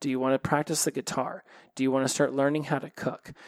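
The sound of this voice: At a fairly quick pace, a man speaks at a medium pitch with little pitch movement.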